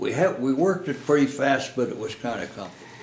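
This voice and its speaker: Lively intonation and a somewhat breathy sound mark this very fast speech. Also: man. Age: 80s+. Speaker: war veteran. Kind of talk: interview answer.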